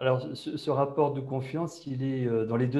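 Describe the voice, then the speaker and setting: A man with a medium pitch and a dark, mellow tone sounds somewhat breathy, talking at a fairly slow pace with fairly even intonation. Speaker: innovation manager at a bank, panelist. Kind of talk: online panel discussion.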